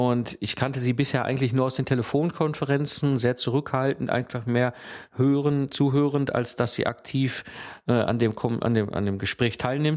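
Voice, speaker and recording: A man talks in a plain, everyday voice at a medium pitch and moderate pace, with fairly even intonation. His loudness stays very even in a very clean recording with a silent background. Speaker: podcast host, systems engineer. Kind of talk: solo educational podcast.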